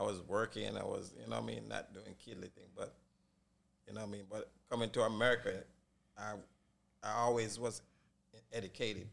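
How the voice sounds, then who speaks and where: A man with a Jamaican accent talks at a fairly quick pace, with big swings in loudness and long, frequent pauses. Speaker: barbershop owner. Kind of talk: casual chat.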